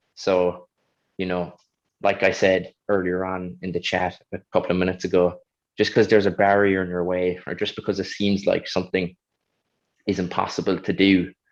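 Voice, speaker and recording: With a strong Kerry accent, a man talks at a fairly quick pace in a very deep, low pitch. His intonation is monotone and flat, and the background is quiet. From Ireland, County Kerry. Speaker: Paralympic high jumper. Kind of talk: panel interview.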